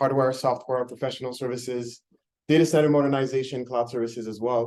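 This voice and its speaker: A dark, mellow tone comes through here. Intonation is fairly even and the pace moderate. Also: man. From Quebec, Montreal. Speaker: startup founder. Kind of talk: pitch presentation. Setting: meeting room with audience.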